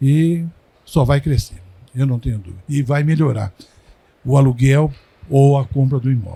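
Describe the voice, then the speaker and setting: This man's voice is somewhat breathy, with a dark, mellow tone. His pitch sits fairly high and varies in an ordinary way. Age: 70s. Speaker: industry consultant. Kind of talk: casual chat. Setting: recording at a trade fair.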